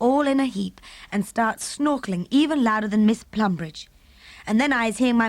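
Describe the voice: Ordinary pitch variation runs through this plainly read text.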